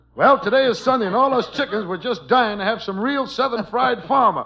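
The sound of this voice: A man's put-on character voice, extremely high in pitch, with vocal fry and a fairly quick pace. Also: ordinary pitch variation.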